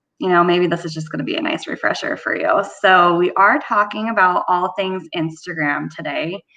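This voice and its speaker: With a normal speaking voice, a woman speaks at a moderate pace in a medium pitch, with lively intonation and hardly any pauses. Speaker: marketing presenter. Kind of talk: webinar presentation.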